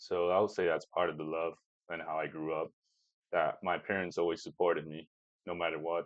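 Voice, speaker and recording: Speech at a fairly quick pace comes in a Chinese accent with monotone, flat intonation. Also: man, very deep, low pitch for a man. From Peru, with childhood in California and Taiwan. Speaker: commercial pilot. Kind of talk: podcast interview. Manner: halting, with many fillers.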